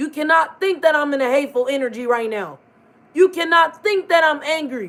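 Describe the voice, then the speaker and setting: The voice is loud, with a serious, intense tone. It moves at a fairly quick pace. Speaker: tarot livestreamer. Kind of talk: casual, colloquial. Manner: loud, intense, sounds angry but calm; serious, forceful delivery.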